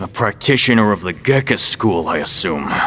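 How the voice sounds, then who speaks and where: A man puts on a character voice at a fairly low pitch, speaking at a moderate pace over clear background noise. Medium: short film. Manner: smug, sneering.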